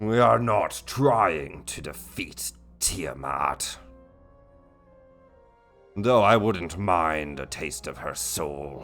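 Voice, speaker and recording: In a put-on character voice, a man rumbles raspily at a very deep, low pitch and a very slow pace, with long, frequent pauses. Faint music plays in the background. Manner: sinister, menacing.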